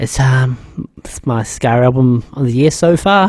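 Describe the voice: With lively intonation, a man speaks at medium pitch and a fairly slow pace in a slightly mellow tone.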